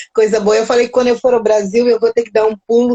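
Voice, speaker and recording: The sound is dry and close, without any echo. A woman speaks fairly quickly. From Mozambique. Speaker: live stream host, psychology channel. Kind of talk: casual live chat. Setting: live stream. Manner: animated.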